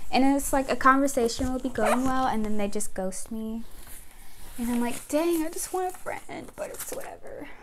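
With light background noise, a woman speaks at a moderate pace. Her high voice has lively intonation. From United States. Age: 20s. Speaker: YouTuber. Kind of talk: casual vlog talking to camera. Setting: at home with a microphone. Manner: rambling, chatty. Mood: relaxed, chatty. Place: home room. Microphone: lapel.

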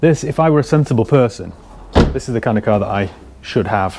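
The man talks at a moderate pace. Light background noise can be heard. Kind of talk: casual vlog chat. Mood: relaxed, enthusiastic. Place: shop. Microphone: phone near.

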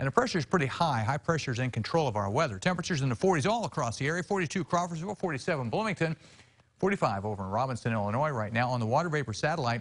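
A man talks at a very fast pace with very wide pitch swings. His voice is somewhat breathy. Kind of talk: weather forecast presentation. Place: studio. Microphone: lapel.

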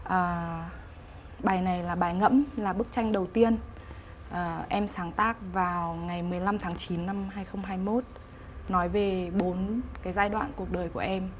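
The voice is somewhat breathy and moves at a very slow pace with fairly even intonation. Light background noise can be heard. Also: woman. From Hanoi, northern Vietnam; Vietnam. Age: 30s. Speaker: painter; guest. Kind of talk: interview. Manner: halting, with many fillers. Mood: calm, reflective. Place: studio. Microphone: lapel.

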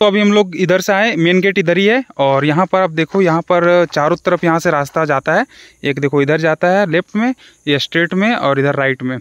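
The man speaks at a high pitch with ordinary pitch variation, in a dry sound with no echo and a quiet background. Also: moderate pace, very even loudness. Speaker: vlogger. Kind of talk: casual vlog chat. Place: forest. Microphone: phone near.

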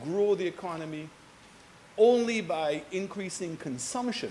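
Light background noise sits under a man speaking at a fairly slow pace with ordinary pitch variation. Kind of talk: parliamentary speech. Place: hall.

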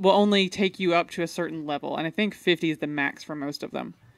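Against a quiet background, a woman with a fairly low pitch speaks at a moderate pace, the sound dry with no echo. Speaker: beer podcast host. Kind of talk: casual chat. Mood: relaxed, friendly. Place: home room. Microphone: studio mic.

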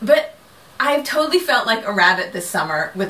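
At a fairly quick pace, a woman speaks with very wide pitch swings. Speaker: crafting podcast host. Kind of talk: casual vlog chat. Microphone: camera far.

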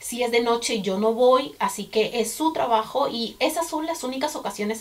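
A woman talks at a moderate pace with ordinary pitch variation. Her pitch is fairly high. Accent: Peruvian. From Peru. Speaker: vlogger. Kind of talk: casual talk to camera. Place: home room.

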